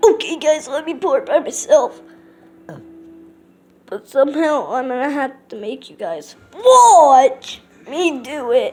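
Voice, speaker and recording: A cartoonish character voice speaks high and at a fairly slow pace. Long pauses come often. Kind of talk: puppet show talk to camera.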